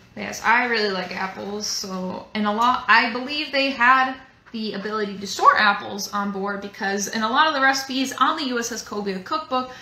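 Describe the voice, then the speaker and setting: A woman talks with hardly any pauses, ordinary pitch variation, and big swings in loudness. Audible room echo surrounds her voice. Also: moderate pace. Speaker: museum staff cooking host. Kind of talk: cooking tutorial. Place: kitchen. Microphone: phone near.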